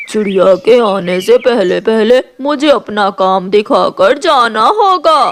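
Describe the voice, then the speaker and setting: A cartoonish character voice, fairly high in pitch, at a fairly slow pace with hardly any pauses. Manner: sly, put-on tearful wheedling.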